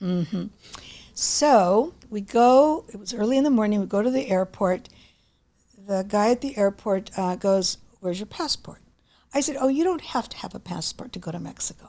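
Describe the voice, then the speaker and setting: Delivered at a moderate pace, this voice has lively intonation, a dark, mellow tone and big swings in loudness. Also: woman, fairly high pitch for a woman. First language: Greek. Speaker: author. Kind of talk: interview storytelling.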